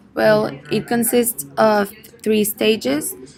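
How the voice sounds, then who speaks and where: A woman speaks with a Spanish accent. Her pace is very slow. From Mexico, Monterrey. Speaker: medical student. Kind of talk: interview, English speaking practice. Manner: halting, with repetitions.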